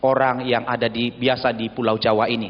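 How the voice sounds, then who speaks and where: The man speaks at a fairly slow pace. Background noise is noticeable. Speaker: visiting pastor. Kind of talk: sermon. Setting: church.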